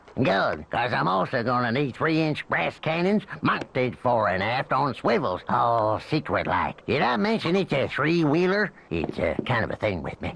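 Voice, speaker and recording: A man's cartoonish character voice at medium pitch, with very wide pitch swings, a moderate pace, hardly any pauses and clear background noise. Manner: swaggering, drawling.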